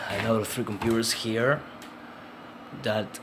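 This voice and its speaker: Medium-pitched male voice with a Spanish accent amid noticeable background noise. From Uruguay. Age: 40s. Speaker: indie game developer. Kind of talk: casual vlog talk. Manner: halting, many fillers and repetitions.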